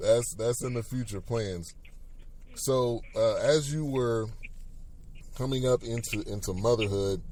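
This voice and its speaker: Pausing long and often, a man speaks fairly slowly at a medium pitch in a dark, mellow tone with ordinary pitch variation. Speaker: show host. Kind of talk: podcast interview.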